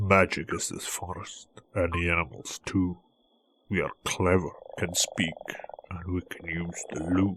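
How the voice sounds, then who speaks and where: Long, frequent pauses break up a man's put-on character voice, pitched very deep and low. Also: moderate pace. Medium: read story.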